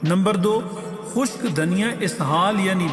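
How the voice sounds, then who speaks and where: A man's high voice with ordinary pitch variation over music in the background. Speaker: voice artist. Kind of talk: health tips narration.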